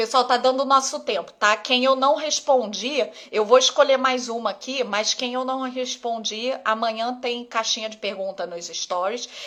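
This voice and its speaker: Pitched high, a woman talks at a moderate pace with hardly any pauses and big swings in loudness. Her tone is bright and sharp, with ordinary pitch variation. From Rio de Janeiro, Brazil. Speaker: ophthalmologist. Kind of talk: live Q&A stream. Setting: live stream on Instagram. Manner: casual, conversational.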